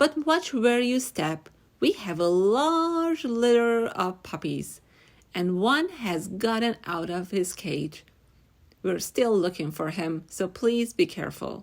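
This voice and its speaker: At a fairly slow pace, a female-sounding voice does a put-on character voice at medium pitch for a woman. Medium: read story. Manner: kind, gentle.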